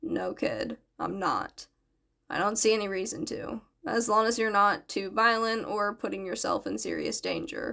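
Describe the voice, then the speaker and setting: A woman uses a put-on character voice that is raspy and fairly high in pitch. She speaks at a moderate pace. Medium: read story. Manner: terse, dry, understated.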